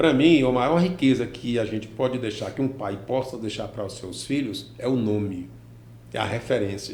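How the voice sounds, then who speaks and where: A man at a medium pitch and moderate pace, with ordinary pitch variation and audible room echo. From Brazil, Piauí (Teresina area), born in Ceará. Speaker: businessman and former teacher. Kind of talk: interview.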